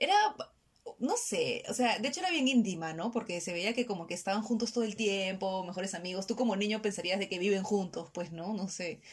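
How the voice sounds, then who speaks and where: Noticeable background noise accompanies a woman speaking at medium pitch and a fairly quick pace. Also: ordinary pitch variation. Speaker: podcast co-host. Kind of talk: casual chat.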